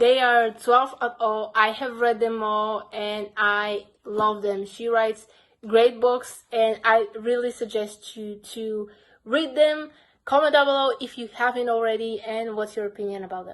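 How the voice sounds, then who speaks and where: A woman with a Bulgarian accent, fairly even intonation, big swings in loudness, and a fairly slow pace. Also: fairly high pitch for a woman. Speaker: book vlogger. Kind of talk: casual vlog talk.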